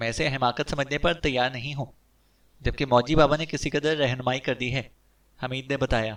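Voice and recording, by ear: Intonation remains fairly even. The text is read aloud in a natural voice.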